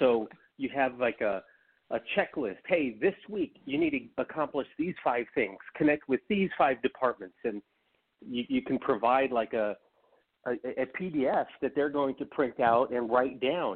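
A man in an ordinary speaking voice talks fairly slowly at a medium pitch, with lively intonation. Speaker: co-host, recruiter. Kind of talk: casual chat.

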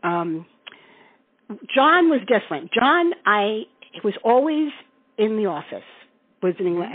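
A woman with an American accent speaks at a fairly slow pace in a fairly high voice that makes very wide pitch swings. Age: 60s. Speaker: Beatles fan recalling concerts. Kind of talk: interview storytelling.

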